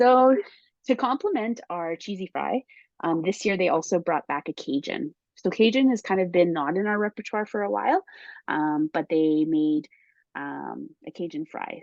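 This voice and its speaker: A woman's unremarkable speaking voice at a moderate pace, with lively intonation. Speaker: spice brand consultant. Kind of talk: casual chat.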